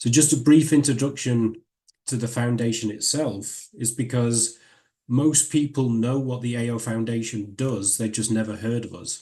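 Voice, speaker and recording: In a northern English accent, a man talks at a moderate pace and medium pitch with fairly even intonation. His voice has a dark, mellow tone and is somewhat breathy. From northern England. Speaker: professor. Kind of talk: lecture.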